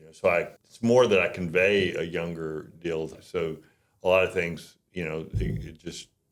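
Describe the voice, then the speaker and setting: The man's very deep, low voice shows big swings in loudness. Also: ordinary pitch variation, moderate pace. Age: 70s. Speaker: real estate agent, company founder. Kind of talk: casual chat.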